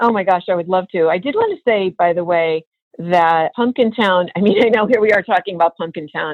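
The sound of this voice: The background is quiet while an unforced reading voice moves with ordinary pitch variation.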